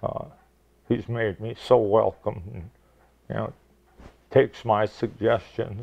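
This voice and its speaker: Very slowly and with long, frequent pauses, a man talks in a fairly low voice with vocal fry, fairly even intonation and big swings in loudness. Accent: American. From Michigan (Detroit area). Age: 70s. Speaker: retired teacher and basketball coach. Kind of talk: interview.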